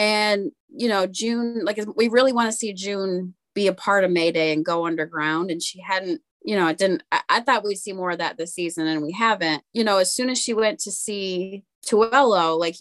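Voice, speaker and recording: A woman with an unremarkable speaking voice talks at a moderate pace with hardly any pauses, using a medium pitch and ordinary pitch variation. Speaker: podcast co-host. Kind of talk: casual podcast discussion.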